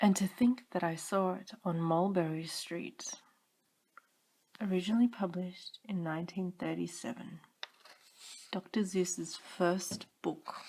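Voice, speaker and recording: A woman's somewhat breathy, dark and mellow voice at a medium pitch, calm in tone, fairly even in intonation, at a fairly slow pace with long, frequent pauses. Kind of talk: bedtime story reading. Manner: calm, monotone.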